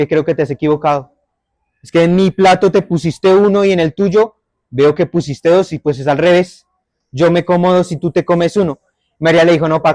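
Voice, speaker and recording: A man with a Bogotá accent speaks at a high pitch and a fairly quick pace, with big swings in loudness. The sound is dry and close, with no echo. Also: fairly even intonation. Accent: Bogotá (rolo). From Bogotá area, Colombia. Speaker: storyteller. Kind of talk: oral storytelling.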